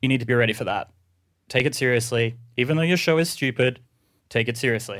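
At a very fast pace with long, frequent pauses, this speaker has an Australian accent and ordinary pitch variation. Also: man, medium pitch for a man. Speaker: podcast producer and artist. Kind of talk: reading a letter aloud to an audience. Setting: stage with audience.

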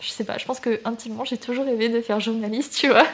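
Noticeable background noise accompanies a woman whose fairly high voice rushes along at a very fast pace. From southern France, Toulouse area. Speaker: student and content creator. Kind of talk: casual interview chat.

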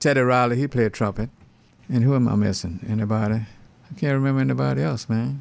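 Talking at a very fast pace, a man with a medium-pitched voice swings his pitch very widely. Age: 80s+. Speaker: veteran session pianist. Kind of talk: relaxed, casual interview reminiscing; not DJ patter. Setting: radio interview. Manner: easygoing, laid-back, halting, trailing off mid-phrase.

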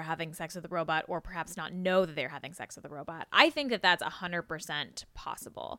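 A woman speaks very fast with medium pitch and ordinary pitch variation. The recording is very clean with a silent background, dry and close with no echo. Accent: American. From US West Coast, San Diego. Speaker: podcast host and journalist. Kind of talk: casual interview conversation.

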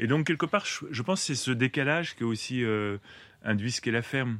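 A man speaks at a medium pitch and a fairly quick pace, with ordinary pitch variation. It's an ordinary speaking voice, recorded dry and close with no echo. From Paris, France. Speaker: farmer and author. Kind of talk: interview.

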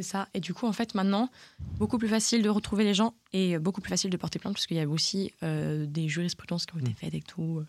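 Recorded dry and close with no echo, a woman talks at a very fast pace. Her pitch is medium, with ordinary variation. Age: 20s. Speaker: podcast co-host. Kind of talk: casual chat.

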